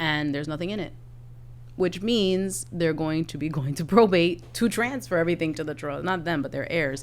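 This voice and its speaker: A woman speaks with a very deep, low pitch and some vocal fry. Her tone is animated, with ordinary pitch variation. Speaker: estate planning lawyer and podcast co-host. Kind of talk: explanatory podcast conversation. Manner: fast.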